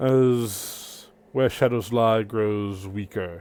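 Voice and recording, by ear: The voice sounds natural. It is reading aloud.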